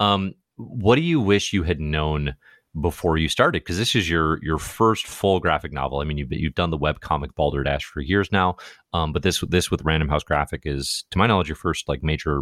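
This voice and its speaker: A man speaks at a fairly quick pace with a very deep, low pitch and vocal fry. The sound is dry and close, with no echo. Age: 30s. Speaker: podcast host. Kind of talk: interview.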